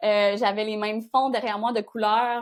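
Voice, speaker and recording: A woman's fairly high voice comes through on a very clean recording with a silent background. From Quebec, Gaspésie. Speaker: content creator, territorial marketing expert. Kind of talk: interview. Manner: fast; dynamic.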